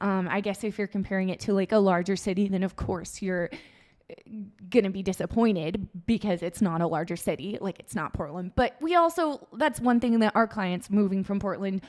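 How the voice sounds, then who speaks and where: A woman with a West Coast accent talks at a fairly quick pace. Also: medium pitch for a woman, ordinary pitch variation. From Oregon, Salem. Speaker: real estate agent. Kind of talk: casual chat.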